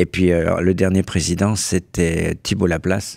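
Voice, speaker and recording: Very deep and low, a man's voice moves at a fairly slow pace. The recording is very clean, with a silent background. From Burgundy, France (Bresse). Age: 70s. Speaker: association president, retiree. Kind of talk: radio interview. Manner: hesitant, repeats words.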